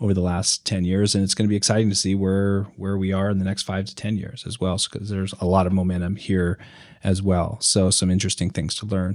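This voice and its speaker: A man with an American accent, very deep, low pitch, fairly quick pace and monotone, flat intonation. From rural Idaho. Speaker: podcast host, educator. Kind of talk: interview. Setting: video call.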